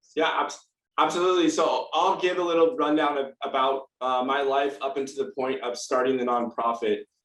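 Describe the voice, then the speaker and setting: An ordinary speaking voice from a man with an American accent, fairly high in pitch, with fairly even intonation. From US West Coast, San Diego, California. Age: 30s. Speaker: nonprofit founder and patient advocate. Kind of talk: testimony. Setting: video call.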